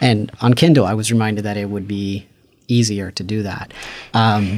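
A man with an American accent speaks in a plain, everyday voice, fairly low in pitch with fairly even intonation. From Paramount, Los Angeles. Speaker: PhD student in urban planning. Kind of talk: casual chat.

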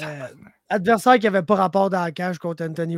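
A fairly quick pace with ordinary pitch variation. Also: man. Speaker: MMA podcast host. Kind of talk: casual chat. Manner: animated.

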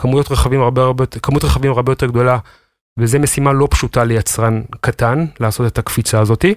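Keeping very even loudness, a man speaks at a fairly quick pace in a medium pitch with fairly even intonation. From Israel, Haifa bay suburbs. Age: 30s. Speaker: car importer marketing manager. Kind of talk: interview. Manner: hesitant, many fillers.

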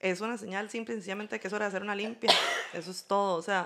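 A woman at a medium pitch and a very fast pace, in a Costa Rican accent, in a very clean recording with a silent background. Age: 30s. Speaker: podcast co-host. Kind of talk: casual chat.

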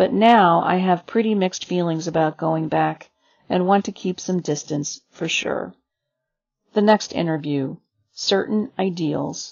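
Speaking fairly slowly, a woman has an unremarkable speaking voice, fairly low in pitch with ordinary pitch variation. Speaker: radio reading-service reader. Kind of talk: reading aloud.

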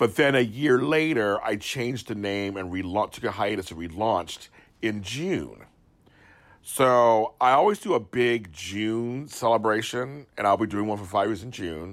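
Speaking in an animated tone, a man uses a medium pitch with ordinary pitch variation. The recording is very clean, with a silent background. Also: moderate pace. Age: 40s. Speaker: professional organizer and podcast host. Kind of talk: solo podcast monologue.

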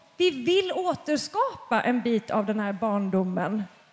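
Very wide pitch swings mark a woman's fairly slow speech. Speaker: podcast host moderating a panel. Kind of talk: live panel discussion. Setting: stage with audience.

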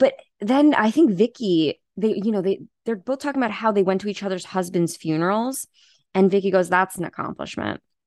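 A woman has an ordinary speaking voice with an American accent, a medium pitch and lively intonation. She moves at a fairly quick pace in a dry, close sound with no echo. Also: quiet background. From US, Long Island, New York. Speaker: podcast guest discussing reality TV. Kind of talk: casual chat.

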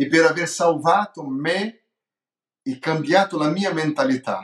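A man speaks in a Portuguese accent. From Brazil. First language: Portuguese (speaking Italian). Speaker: pastor. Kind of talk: testimony. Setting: remote call. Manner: halting, mixing Portuguese and Italian.

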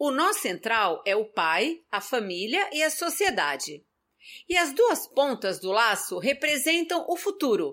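A woman speaks at a high pitch and a fairly slow pace, with very wide pitch swings. Her tone is bright and sharp in a very clean recording with a silent background. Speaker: podcast host. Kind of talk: scripted health podcast talk.

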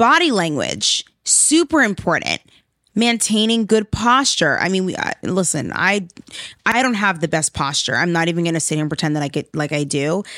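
A woman speaks in a fairly low pitch with very wide pitch swings and a bright, sharp, animated tone. The recording is very clean with a silent background. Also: moderate pace. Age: 20s. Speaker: podcast host and self-love coach. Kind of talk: motivational monologue.

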